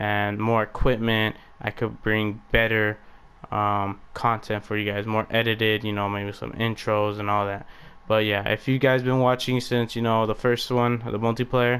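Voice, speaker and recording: At a moderate pace, a man talks in a fairly low register. His delivery is monotone and flat. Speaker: gaming YouTuber. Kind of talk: gameplay commentary. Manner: stuttering, halting; casual, many fillers.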